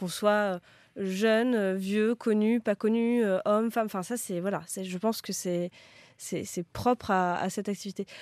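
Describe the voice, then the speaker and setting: The sound is dry and close, with no echo, in a very clean recording with a silent background. A woman speaks at a medium pitch with fairly even intonation. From France, Créteil (Paris suburbs). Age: 30s. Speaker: talent agent. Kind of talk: casual interview. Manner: halting, many repetitions and fillers.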